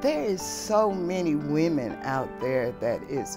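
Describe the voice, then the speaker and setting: Clear music plays behind a woman whose voice sits at a very deep, low pitch. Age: 60s. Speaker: recovering addict, resident advocate. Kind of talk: personal testimonial interview. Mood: grateful, earnest. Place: home room. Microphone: lapel.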